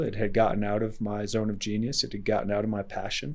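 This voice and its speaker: This man has a normal speaking voice, fairly low in pitch, at a moderate pace. The recording is very clean, with a silent background. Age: 40s. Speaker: entrepreneur and adventurer. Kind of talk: podcast interview. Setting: in person.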